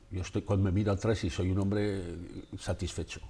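A man with a fairly low pitch, a dark, mellow, somewhat breathy tone and a very fast pace. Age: 70s. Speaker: photographer; interviewee. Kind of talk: interview. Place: studio. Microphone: lapel.

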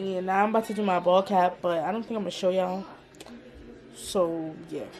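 A woman speaks with an American accent and fairly even intonation. Music plays in the background. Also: fairly quick pace. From New York City. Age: 20s. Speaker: vlogger and hairstylist. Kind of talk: casual talk to camera. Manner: casual, chatty.

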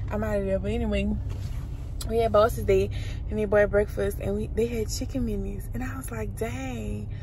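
Over noticeable background noise, a woman talks at a fairly quick pace in a dry sound with no echo. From Louisiana. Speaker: lifestyle vlogger. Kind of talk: casual vlog. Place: car. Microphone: phone near.

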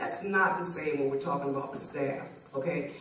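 Recorded with light background noise and audible room echo, a woman speaks. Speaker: parent panelist. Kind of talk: panel discussion. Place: stage.

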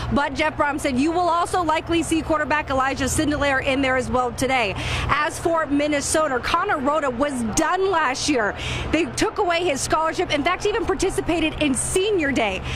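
Music plays in the background as a woman speaks at a fairly quick pace and a high pitch, with ordinary pitch variation and very even loudness. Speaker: sideline reporter. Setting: outdoors on the sideline, windy.

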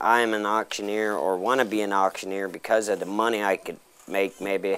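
With an American accent, a man talks in a normal speaking voice at a fairly low pitch and moderate pace, with light background noise. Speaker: apprentice auctioneer. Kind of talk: interview answer. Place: farm. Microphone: lapel.

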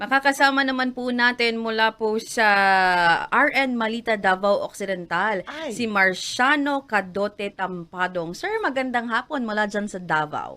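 This woman's voice is fairly high in pitch, with ordinary pitch variation. She talks at a fairly slow pace in a bright, sharp tone. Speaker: radio host. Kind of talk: radio interview.

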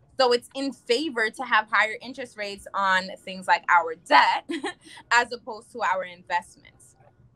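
With a bright, sharp tone, a woman speaks at a fairly high pitch and a moderate pace. Her pitch varies in an ordinary way, while her loudness swings widely. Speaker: financial representative; guest. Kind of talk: talk show interview. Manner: animated. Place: home room. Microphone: video call.

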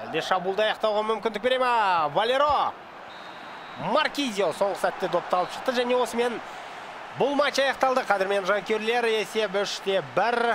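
A man's high voice at a moderate pace, very even in loudness with ordinary pitch variation, over noticeable background noise. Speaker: esports commentator. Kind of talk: live commentary. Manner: animated.

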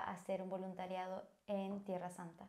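Woman with a Bolivian accent and a dark, mellow tone, at a fairly slow pace against a quiet background. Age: 20s. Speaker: volunteer. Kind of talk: personal testimony. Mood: warm, sincere, smiling. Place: home room. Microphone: lapel.

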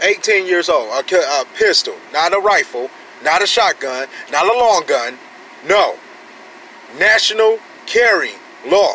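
A man with an American accent uses a raised, projected voice at a high pitch. The sound is dry with no echo, with light background noise. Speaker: gun-rights vlogger. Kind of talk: angry rant, fired-up gun-rights sermon. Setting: solo home video, talking to camera. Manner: loud, indignant, emphatic; fast, preachy, repeating points for emphasis. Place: car. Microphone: phone near.

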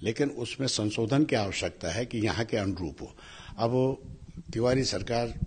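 Delivery is fairly slow and somewhat breathy. Pitch varies in an ordinary way. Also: man. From Tehri Garhwal, Uttarakhand; Uttarakhand. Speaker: politician; politician interviewee. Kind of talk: interview; interview answer. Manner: halting. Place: home room. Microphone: handheld.

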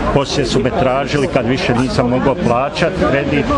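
Loud background noise sits behind this recording. A man talks at a moderate pace. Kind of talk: interview answer. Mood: aggrieved, earnest. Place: street.

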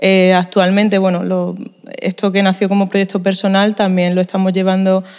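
Against a quiet background, a woman speaks at a moderate pace in a monotone, flat intonation. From Spain, Málaga (Andalusia); Andalusia, Spain. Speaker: musician, band leader. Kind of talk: interview; interview answer. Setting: at a music festival in a museum. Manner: hesitant, many fillers and repetitions. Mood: grateful, thoughtful. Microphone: handheld.

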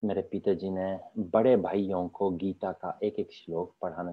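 A man in a Polish accent, fairly low in pitch, at a very slow pace. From Poland. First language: Polish (speaking Hindi). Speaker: Sanskrit scholar; guest. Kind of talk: interview. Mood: calm, reflective, earnest. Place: home room. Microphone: video call.

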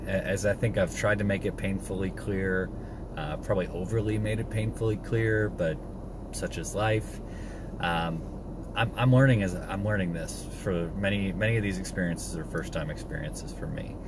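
Over noticeable background noise, a man speaks at a moderate pace, the sound dry with no echo. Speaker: homesteading vlogger. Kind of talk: casual vlog chat. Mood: reflective, personal. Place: car. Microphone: phone near.

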